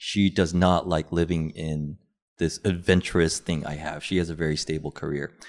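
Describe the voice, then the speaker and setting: In an American accent, a man with a very deep, low pitch speaks at a moderate pace with monotone, flat intonation. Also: very clean recording, silent background. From Korean American upbringing. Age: 30s. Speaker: podcaster, guest. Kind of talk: casual chat.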